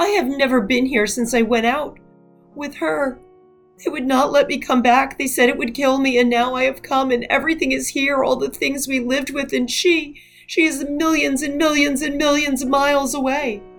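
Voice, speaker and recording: Over faint background music, a woman does a put-on character voice with a high pitch. She speaks at a moderate pace. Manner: anguished, breathless, repeating herself.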